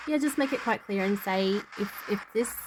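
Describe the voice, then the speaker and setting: Noticeable background noise sits behind a woman talking at a medium pitch and a moderate pace. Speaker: paranormal investigator. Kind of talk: tutorial. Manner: loud and clear.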